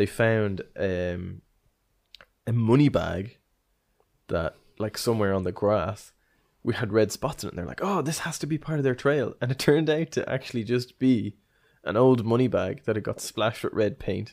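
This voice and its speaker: Long, frequent pauses break up a man's lively intonation, delivered in a medium pitch with an Irish accent. The recording is very clean, with a silent background. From Ireland. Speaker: podcast host. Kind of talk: casual chat, history podcast. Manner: fast talker.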